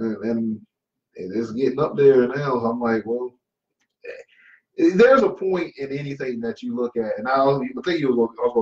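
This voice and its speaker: An ordinary speaking voice from a man, with lively intonation at a fairly quick pace. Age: 30s. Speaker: comedian. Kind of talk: casual chat.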